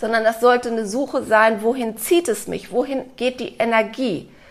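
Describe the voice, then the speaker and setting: A woman with a fairly high pitch and ordinary pitch variation has an unremarkable speaking voice. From Germany, Cologne. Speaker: author and organizational consultant. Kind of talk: interview conversation.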